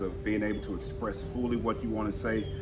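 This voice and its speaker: A man talks in a strong Southern US accent. Music plays behind him, and the room echo is audible. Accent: thick southern. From Texas. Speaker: communication coach. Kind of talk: casual interview chat. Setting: outdoors on the street. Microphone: no mic.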